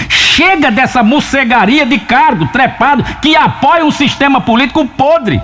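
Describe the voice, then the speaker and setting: Behind this man's speech, background noise is noticeable. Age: 70s. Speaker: radio broadcaster and journalist. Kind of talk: opinion monologue. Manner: impassioned.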